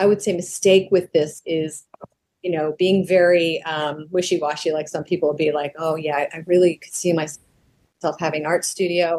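A woman's plain, everyday voice, fairly low in pitch, with fairly even intonation at a moderate pace. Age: 60s. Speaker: professional vocalist and artist. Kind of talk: interview conversation.

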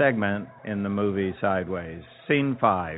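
A man's pitch sits fairly low. It varies in an ordinary way. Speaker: restaurant owner. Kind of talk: interview answers, casual conversational recollection.

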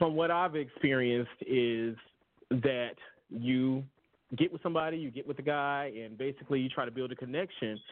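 A man's medium-pitched voice with ordinary pitch variation. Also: moderate pace. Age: young. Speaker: podcast guest. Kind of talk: casual chat. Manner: halting.

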